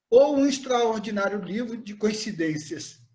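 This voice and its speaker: At a moderate pace, a man speaks in a high-pitched voice with a dark, mellow tone. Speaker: hiking group organizer. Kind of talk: event introduction. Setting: video call.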